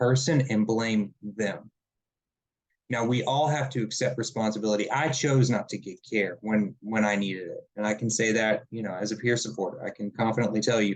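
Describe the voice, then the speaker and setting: At a moderate pace, a man talks in a Southern US accent. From South Carolina. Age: 30s. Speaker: mental health peer supporter and nonprofit director. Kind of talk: webinar presentation.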